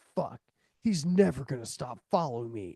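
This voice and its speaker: A man puts on a character voice at a medium pitch. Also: moderate pace. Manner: dramatic, exaggerated.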